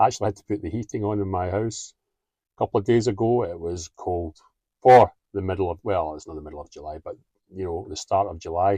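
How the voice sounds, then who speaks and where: With a strong Scottish accent, a man talks at a very fast pace in a fairly low, somewhat breathy voice of dark, mellow tone, with ordinary pitch variation and big swings in loudness, recorded in a dry, close sound with no echo against a quiet background. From Scotland. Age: 50s. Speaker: vlogger. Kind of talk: casual monologue to camera.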